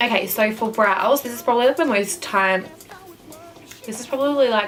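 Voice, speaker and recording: Music can be heard behind the speaker. She is a woman whose pitch varies in an ordinary way. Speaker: makeup artist and beauty vlogger. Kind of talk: tutorial. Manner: fast.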